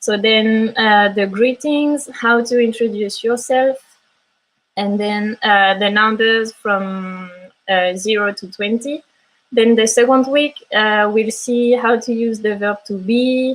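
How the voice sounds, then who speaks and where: A woman with a French accent speaks at a very slow pace and fairly high pitch, her intonation fairly even. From France. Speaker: language teacher. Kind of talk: online class. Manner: halting.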